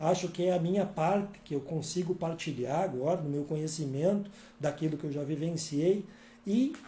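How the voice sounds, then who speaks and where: A man's calm, dark, mellow voice with ordinary pitch variation and a moderate pace. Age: 60s. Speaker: author and workshop speaker. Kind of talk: workshop talk. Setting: live-streamed workshop with videomaker in next room. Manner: calm, conversational.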